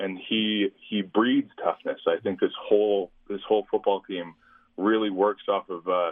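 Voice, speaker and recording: A man speaks with a Canadian accent. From Saskatchewan, Canada. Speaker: university football player. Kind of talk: interview. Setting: phone call.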